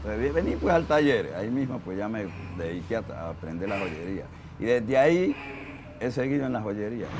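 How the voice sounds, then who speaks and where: A man's fairly low voice with very wide pitch swings at a moderate pace, with audible room echo and noticeable background noise. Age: 60s. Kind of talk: documentary interview.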